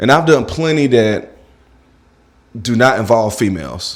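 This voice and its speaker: Talking at a middling speed, the male speaker has vocal fry and a pitch that leaps far up and down. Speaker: small content creator. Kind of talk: vlog monologue, venting. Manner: casual, slangy.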